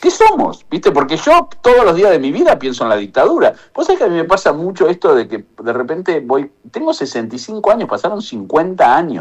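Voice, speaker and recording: The speaker has an Argentine accent. The pace is fairly quick. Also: man. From Argentina. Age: 60s. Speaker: economist. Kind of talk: radio interview testimony.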